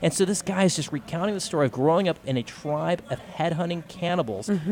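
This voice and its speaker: At a fairly quick pace, a high-voiced man with an American accent speaks with lively intonation over noticeable background noise. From Texas, Austin. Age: 30s. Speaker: podcaster and speaker. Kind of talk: live radio interview. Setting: convention floor broadcast.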